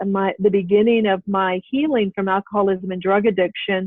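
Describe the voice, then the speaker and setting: A woman's normal speaking voice at medium pitch, with an American accent and ordinary pitch variation. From US, military family. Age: 60s. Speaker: health coach and author. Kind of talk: interview conversation.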